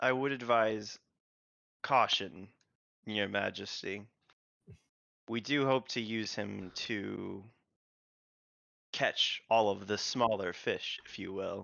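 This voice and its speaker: In a raspy, put-on character voice, the speaker goes very slowly with long, frequent pauses. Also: man, fairly low pitch for a man. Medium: actual play. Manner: measured, deferential.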